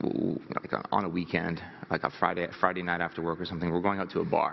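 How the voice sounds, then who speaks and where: A man's very deep, low voice, nervous in tone and monotone, flat in intonation, at a very fast pace over noticeable background noise. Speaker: motivational speaker. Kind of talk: motivational talk. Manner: nervous laugh, throat clearing.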